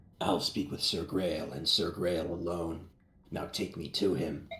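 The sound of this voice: A man uses a raspy, put-on character voice with a very deep, low pitch. He talks at a fairly slow pace in a monotone, flat way.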